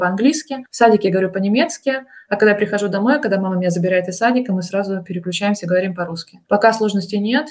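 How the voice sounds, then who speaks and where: Pitch shifts in an ordinary way. The pace is very fast. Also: woman. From Russia. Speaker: translator and Russian teacher. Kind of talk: casual interview. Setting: remote call.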